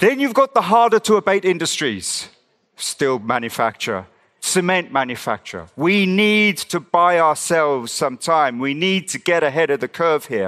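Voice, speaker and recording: Over a quiet background, the voice moves at a moderate pace with very wide pitch swings and a bright, sharp tone. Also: man, high pitch for a man. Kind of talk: rally-style campaign speech. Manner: impassioned, forceful, urgent.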